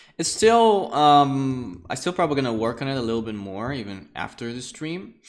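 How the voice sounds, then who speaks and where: With audible room echo around him, a man speaks at a moderate pace in a fairly high pitch with very wide pitch swings. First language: Russian. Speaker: art teacher and livestream host. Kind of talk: online lecture livestream. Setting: live stream from home. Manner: casual, conversational with fillers.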